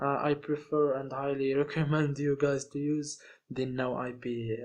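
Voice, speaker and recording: In a non-native accent, a man speaks at a fairly high pitch with monotone, flat intonation. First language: not English. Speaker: online course instructor. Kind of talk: tutorial. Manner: halting.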